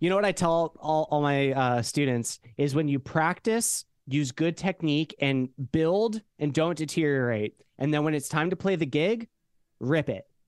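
A man with a normal speaking voice talks at a moderate pace and fairly high pitch, with ordinary pitch variation and very even loudness. The sound is dry and close with no echo, over a quiet background. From Idaho, US. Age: 20s. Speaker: musician and streamer. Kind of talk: casual chat.

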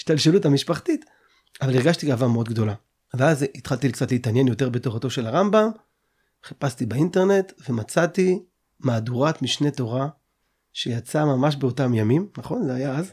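In a very clean recording with a silent background, a man talks at a moderate pace. His fairly high, somewhat breathy voice has lively intonation. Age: 30s. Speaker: podcast host. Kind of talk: interview.

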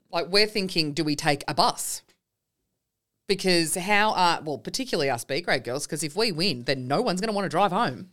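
Her intonation is lively. A woman with an Australian accent speaks at a fairly low pitch. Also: very clean recording, silent background. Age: 40s. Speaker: podcast host and netball player. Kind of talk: casual chat. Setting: studio.

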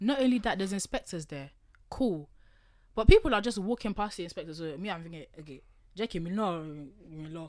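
Lively in intonation, a woman with a London accent speaks at a fairly quick pace. Her loudness swings widely, and the recording is very clean with a silent background. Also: medium pitch for a woman. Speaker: podcast host. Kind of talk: casual chat. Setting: studio.

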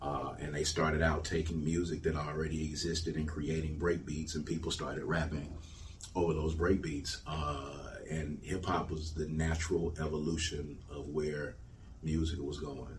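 In an American accent, a man with a very deep, low pitch talks in a monotone, flat way amid noticeable background noise and audible room echo. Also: moderate pace. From Jackson, Mississippi. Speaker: hip hop artist and music festival founder. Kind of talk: interview.

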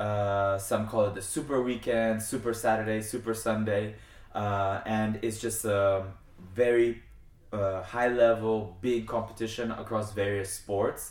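A man speaks with a New Jersey accent at a fairly low pitch. His pace is fairly slow and his intonation monotone and flat. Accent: American (New Jersey). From US (California, then New Jersey), Argentinian family. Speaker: international fencer and student athlete. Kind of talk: casual interview.

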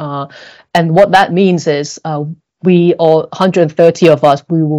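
A woman with a Cantonese accent speaks in a very deep, low voice with a dark, mellow tone. Her intonation is monotone and flat, over a quiet background. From Hong Kong. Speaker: corporate sustainability director. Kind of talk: podcast interview. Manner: hesitant, many fillers.

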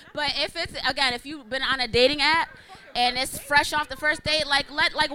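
A woman speaks at a fairly quick pace in a raised, projected voice. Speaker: panelist. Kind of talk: heated panel debate.

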